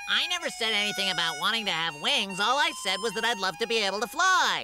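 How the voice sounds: A cartoonish character voice with a fairly high pitch rattles along at a very fast pace over loud music in the background.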